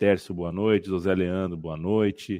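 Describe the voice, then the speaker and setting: This is an unremarkable speaking voice. The background is quiet. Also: man. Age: 30s. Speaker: football podcast host. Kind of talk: casual chat.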